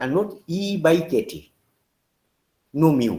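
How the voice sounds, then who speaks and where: A man talks with a fairly high pitch and lively intonation. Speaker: professor. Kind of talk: lecture.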